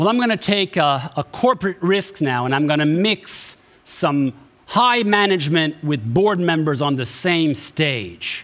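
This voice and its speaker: Talking fairly slowly, a male speaker uses lively intonation. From Canada. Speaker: event host. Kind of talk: event moderation. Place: stage.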